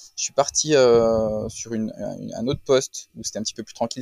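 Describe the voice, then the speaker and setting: At a moderate pace, a man speaks in a medium-pitched, dark, mellow voice with flat, monotone intonation, and the sound is dry and close with no echo. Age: 40s. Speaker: business owner, retail. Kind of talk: testimony.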